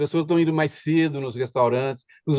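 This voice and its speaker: Fairly quick in pace, a man talks with a voice pitched fairly high. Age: 60s. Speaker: retail trade union member. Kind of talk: casual discussion panel. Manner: halting, many fillers and restarts.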